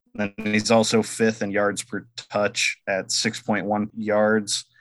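Music plays in the background. A man talks over it with a fairly low pitch. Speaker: podcast producer. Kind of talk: casual chat.

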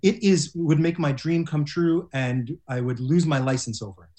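This is a man speaking at a moderate pace. His voice is somewhat breathy. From Montreal, Canada. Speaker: music podcaster and guitarist. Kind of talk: improvised comedy. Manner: halting.

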